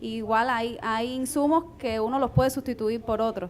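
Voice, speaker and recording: Fairly high pitch from a woman, an unremarkable speaking voice with ordinary pitch variation. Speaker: entrepreneur. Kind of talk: panel discussion.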